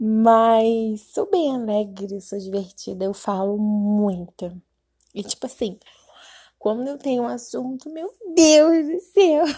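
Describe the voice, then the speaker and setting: A woman at a very slow pace, fairly high in pitch, with a dark, mellow tone and lively intonation. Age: 20s. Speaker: podcaster, gamer. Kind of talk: casual monologue.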